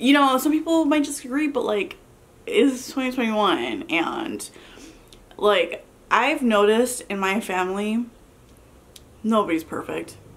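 Her pitch swings very widely as this woman speaks at a fairly slow pace. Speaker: mukbang vlogger. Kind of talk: casual vlog chat. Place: home room.

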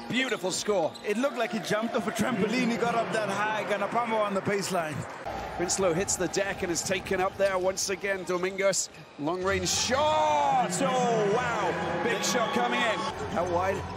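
An animated, enthusiastic man with a high pitch and ordinary pitch variation, at a moderate pace with very even loudness, over noticeable background noise. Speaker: basketball commentator. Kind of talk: live sports commentary. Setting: studio/broadcast commentary over game footage. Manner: animated, enthusiastic play-by-play, punchy exclamations; fluent, conversational, laughs while calling.

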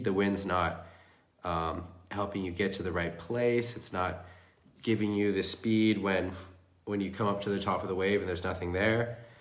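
A man speaks with a very deep, low pitch. His pace is moderate. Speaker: windsurfing coach. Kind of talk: live coaching commentary. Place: home room. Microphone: phone near.

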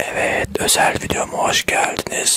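A man whispering at a very slow pace. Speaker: ASMR creator. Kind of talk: ASMR eating video. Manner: whispered. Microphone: studio mic.

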